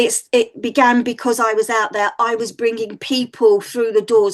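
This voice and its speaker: With a Mancunian accent, a woman talks in an animated tone at a fairly high pitch, with ordinary pitch variation. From northern England, Manchester. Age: 60s. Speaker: psychic medium. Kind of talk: podcast interview.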